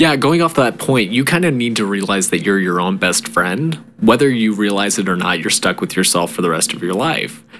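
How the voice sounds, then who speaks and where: A man with a fairly low pitch talks at a fairly quick pace with hardly any pauses. His pitch swings very widely, and there is noticeable background noise. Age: 20s. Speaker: podcast co-host. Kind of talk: casual chat.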